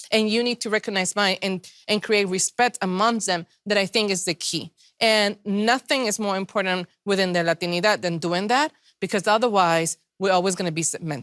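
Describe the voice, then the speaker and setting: Speech comes at a moderate pace with ordinary pitch variation. The sound is dry and close with no echo, a very clean recording against a silent background. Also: woman, medium pitch for a woman. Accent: non-native. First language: not English. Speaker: panelist. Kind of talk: panel discussion. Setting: virtual event.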